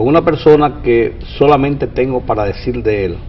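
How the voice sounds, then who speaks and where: Lively intonation marks a man's moderate-paced speech, heard against noticeable background noise. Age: 60s. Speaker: TV interview host, journalist. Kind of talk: interview.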